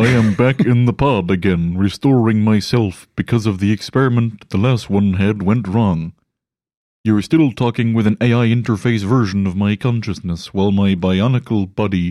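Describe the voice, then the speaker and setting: A man's put-on character voice, fairly low in pitch, on a very clean recording with a silent background. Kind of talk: comic robotic deadpan. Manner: stiff, formal.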